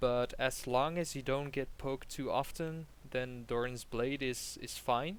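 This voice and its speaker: Here a man talks with a Flemish accent. His pitch is medium and his pace fairly slow. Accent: Belgian Dutch (Flemish) accent in English. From Belgium. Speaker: game coach. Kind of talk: coaching session, casual chat.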